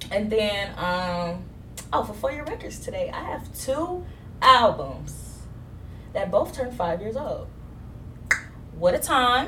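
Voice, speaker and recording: A woman at a very slow pace, with big swings in loudness and long, frequent pauses. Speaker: podcast host. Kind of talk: casual chat. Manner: open, loud, blunt.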